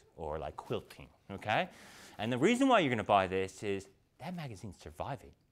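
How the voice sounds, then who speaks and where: The man keeps a fairly quick pace as he talks. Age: 30s. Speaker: keynote speaker. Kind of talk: conference keynote talk. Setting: stage with audience. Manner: animated. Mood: humorous, anecdotal. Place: hall.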